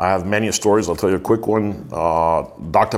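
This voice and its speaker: Fairly quick speech from a man, his pitch fairly low and varying in an ordinary way. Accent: American. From Miami, US. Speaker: marketing and live events executive. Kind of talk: interview.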